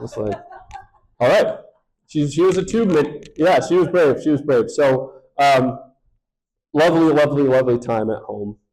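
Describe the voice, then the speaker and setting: Audible room echo surrounds a man with an American accent and a fairly high pitch, who talks at a moderate pace with long, frequent pauses. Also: ordinary pitch variation. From Michigan, US Midwest. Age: 30s. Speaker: pastor. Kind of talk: sermon-style talk to congregation.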